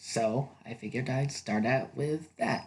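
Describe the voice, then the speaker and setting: A man speaks quietly at a very slow pace. His intonation is lively. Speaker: ASMR video creator. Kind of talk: ASMR roleplay, role-play narration to the listener. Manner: quiet, soothing, casual, playful.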